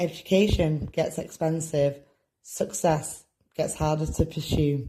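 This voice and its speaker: A woman with a very deep, low pitch speaks fairly slowly in a dark, mellow, somewhat breathy tone and a flat, monotone delivery. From Manchester, England. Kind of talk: spoken word poetry reading.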